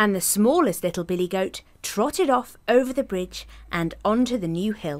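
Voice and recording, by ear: Lively intonation shapes the delivery. The words are read aloud in a natural voice.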